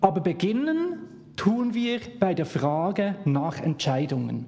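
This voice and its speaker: Audible room echo surrounds a man who speaks at a very slow pace with lively intonation. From Switzerland, Bern. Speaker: guest preacher. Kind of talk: sermon.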